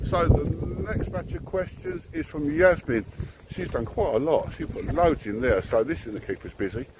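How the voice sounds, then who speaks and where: A man talks at a moderate pace with noticeable background noise. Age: 60s. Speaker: driving instructor. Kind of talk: casual chat. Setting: selfie stick video.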